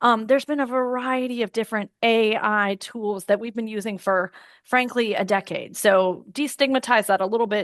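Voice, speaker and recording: A woman with an unremarkable speaking voice and fairly high pitch talks at a moderate pace with hardly any pauses and fairly even intonation, the sound dry and close with no echo against a quiet background. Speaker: employment lawyer presenting. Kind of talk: webinar presentation.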